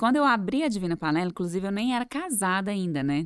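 The recording is very clean, with a silent background. A woman at a medium pitch speaks with very wide pitch swings. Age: 30s. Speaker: entrepreneur and mother. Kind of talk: casual interview.

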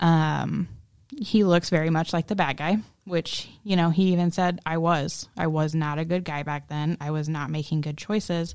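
This woman has an unremarkable speaking voice, pitched fairly low, at a moderate pace. The recording is very clean, with a silent background. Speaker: co-host of a co-parenting podcast, stepmom. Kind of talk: casual conversational podcast, candid and reflective.

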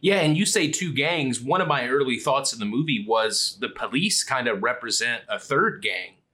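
With a bright, sharp tone, a man speaks at a moderate pace. He barely pauses, and his pitch swings very widely. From Kentucky. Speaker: film podcast co-host. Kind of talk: casual chat.

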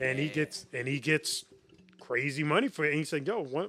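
A man at a moderate pace. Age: 30s. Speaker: yo-yo performer and podcast co-host. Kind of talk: casual chat.

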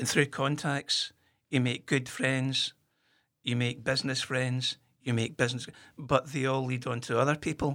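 A man's flat, monotone voice in a very clean recording with a silent background. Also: medium pitch for a man, moderate pace. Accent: Glasgow. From Scotland, Kirkintilloch near Glasgow. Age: 50s. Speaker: whisky shop owner, former historian. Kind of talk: casual interview.

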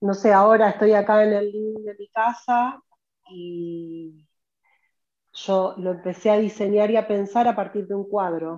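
Her medium-pitched voice keeps a fairly even intonation while her loudness swings widely, as this woman speaks. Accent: Rioplatense. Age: 40s. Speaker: professional organizer and content creator. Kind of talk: interview conversation.

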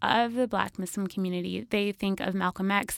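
A plain, everyday voice with an American accent, at a moderate pace and with ordinary pitch variation. The sound is dry and close with no echo, on a very clean recording with a silent background. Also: woman. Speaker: podcaster. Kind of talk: casual interview.

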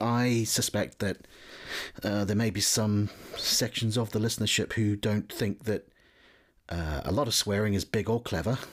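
Very even loudness in a New Zealand accent, with long, frequent pauses. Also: man. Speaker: podcast host. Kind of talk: casual interview chat.

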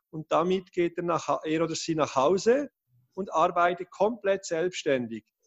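Ordinary pitch variation colors a man's high-pitched speech. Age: 30s. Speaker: education project founder. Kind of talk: interview.

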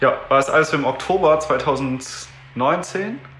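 A man is speaking. Room echo is audible. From Düsseldorf, Germany. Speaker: pianist and event organizer. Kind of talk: casual interview.

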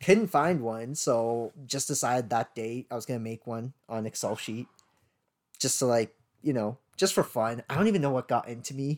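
This is a plain, everyday voice with a Canadian accent, moving at a moderate pace with ordinary pitch variation. The sound is dry and close with no echo, and the recording is very clean against a silent background. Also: man, medium pitch for a man. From Sri Lanka, raised in Vancouver, Canada from age eight. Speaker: podcast co-host. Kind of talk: casual chat.

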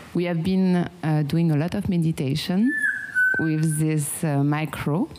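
The speaker has a French accent and a fairly slow pace. Pitch swings are very wide, and background noise is noticeable. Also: woman. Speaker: meditation guide. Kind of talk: guided meditation. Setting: home with pet birds nearby.

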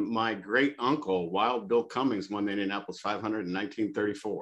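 With an American accent, a man uses an ordinary speaking voice at a moderate pace, medium pitch and ordinary pitch variation. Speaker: podcast host. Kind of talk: interview. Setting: video call.

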